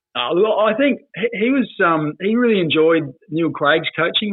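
A man with an Australian accent, lively intonation and a moderate pace. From South Australia, Port Pirie. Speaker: former football player. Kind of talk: casual chat.

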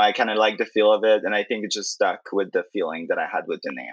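A man with a Quebec accent against a quiet background. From Quebec City. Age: 20s. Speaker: drag queen. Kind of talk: interview.

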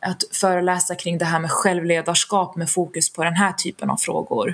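A woman speaks at a moderate pace in a fairly low pitch with monotone, flat intonation. Noticeable background noise runs beneath her. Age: 30s. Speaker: HR specialist and founder of a stress-prevention organization. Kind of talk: interview.

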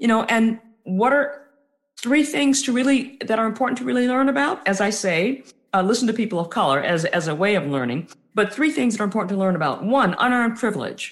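A woman talks at a fairly quick pace with a fairly high pitch, very wide pitch swings, vocal fry and very even loudness. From US South, New Orleans. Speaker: author and diversity trainer. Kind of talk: interview.

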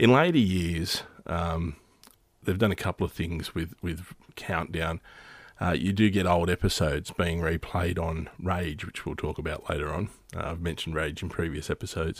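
An Australian accent at a moderate pace, fairly even in intonation, on a very clean recording with a silent background. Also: man, very deep, low pitch for a man. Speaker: podcast host. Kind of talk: casual solo monologue. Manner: halting, many fillers.

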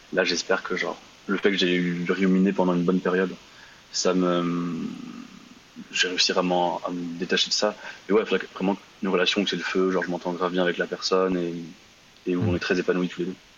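With noticeable background noise behind him, a man speaks in a very deep, low, monotone voice with flat intonation at a fairly quick pace, leaving long, frequent pauses. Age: 20s. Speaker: caller. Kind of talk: casual chat. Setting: live call-in on Instagram. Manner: halting.

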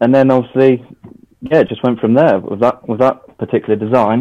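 In a West Country accent, the speaker talks at a fairly quick pace with a dark, mellow tone and fairly even intonation. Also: man. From Devon, England. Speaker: trainer customiser, former electrician. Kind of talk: casual interview.

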